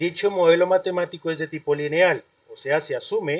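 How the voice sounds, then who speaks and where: This is a man's voice. His pitch is high. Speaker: university lecturer. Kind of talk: online class lecture. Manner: fast.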